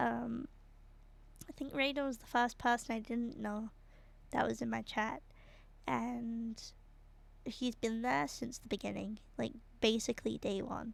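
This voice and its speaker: With a British accent and a relaxed tone, a woman talks at a fairly slow pace, with long, frequent pauses and big swings in loudness. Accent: British, very obvious on some words. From Britain. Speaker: streamer. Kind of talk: casual chat while drawing on livestream. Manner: relaxed, hesitant with fillers.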